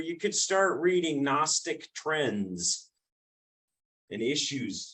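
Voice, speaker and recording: The voice is loud and moves at a very slow pace. Its pitch swings very widely. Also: man. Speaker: church class teacher. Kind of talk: lecture. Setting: classroom.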